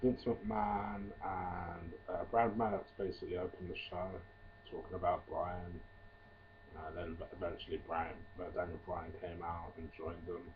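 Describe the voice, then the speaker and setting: Long, frequent pauses at a fairly slow pace, with big swings in loudness over noticeable background noise. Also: man. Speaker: wrestling reviewer. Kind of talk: casual video review. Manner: hesitant, many fillers.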